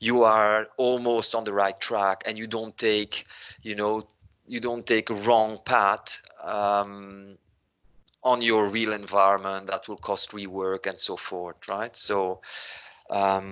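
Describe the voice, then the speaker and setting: A man with a non-native accent speaks at a very slow pace and a fairly low pitch, in a monotone, flat intonation. His tone is bright and sharp, against a quiet background. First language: not English. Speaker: business applications consultant. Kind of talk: webinar Q&A answer. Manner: conversational, frequent fillers.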